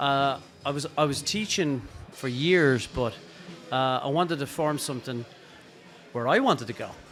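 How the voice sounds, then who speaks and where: A man with an Irish accent and a fairly high pitch speaks at a moderate pace with ordinary pitch variation and long, frequent pauses. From Ireland. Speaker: drummer and drum teacher. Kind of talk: casual interview. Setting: podcast recorded at a drum show.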